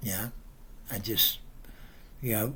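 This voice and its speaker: A man with a bright, sharp tone speaks with fairly even intonation, and room echo can be heard. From England. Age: 70s. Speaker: family friend, pensioner. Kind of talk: memorial tribute message. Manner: halting, many fillers.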